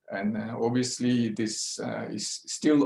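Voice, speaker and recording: Monotone, flat intonation marks this man's speech in a Swiss accent. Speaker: neuroradiologist. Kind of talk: lecture. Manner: slow; halting.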